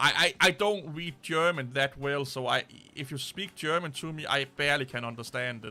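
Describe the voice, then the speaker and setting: This man speaks in a Danish accent at a moderate pace. His voice is fairly high and bright and sharp in tone, with ordinary pitch variation. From Denmark. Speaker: tech streamer. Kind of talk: casual live stream chat. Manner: halting.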